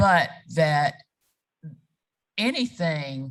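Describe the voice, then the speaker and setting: A woman with a South Carolina accent speaks with lively intonation. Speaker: reproductive rights advocate. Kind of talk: panel discussion.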